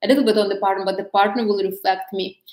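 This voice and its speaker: This woman speaks with a non-native accent at a fairly high pitch. Her intonation is fairly even. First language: not English. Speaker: dating coach. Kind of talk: live stream talk. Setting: live stream on social media. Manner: halting.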